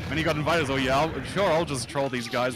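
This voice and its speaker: Very fast speech with ordinary pitch variation over music in the background. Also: man. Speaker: fighting game commentator. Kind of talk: live commentary. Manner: animated.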